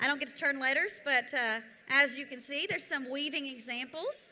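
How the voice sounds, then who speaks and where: A woman's raised, projected voice, high-pitched with a bright, sharp tone, in a Southern US accent with audible room echo. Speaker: event presenter. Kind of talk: event activity instructions. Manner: loud.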